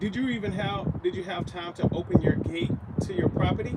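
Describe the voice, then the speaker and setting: A man at a moderate pace, ordinary pitch variation, noticeable background noise. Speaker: paranormal livestream host. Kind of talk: live spirit box session. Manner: halting, self-correcting.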